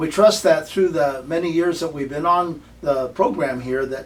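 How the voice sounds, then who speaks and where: There is noticeable background noise behind this man. He speaks at a moderate pace with a fairly high pitch and ordinary pitch variation. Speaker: university president and program host. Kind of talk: program introduction.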